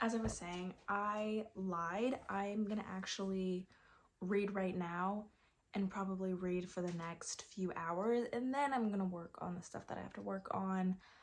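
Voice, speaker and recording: A plain, everyday voice talks at a fairly slow pace. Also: woman. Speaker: booktuber vlogger. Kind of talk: casual vlog chat. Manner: chatty, filler-heavy.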